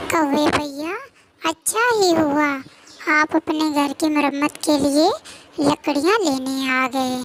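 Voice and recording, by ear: The pace is fairly slow. It is a cartoonish character voice. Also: female-sounding voice, high pitch for a woman.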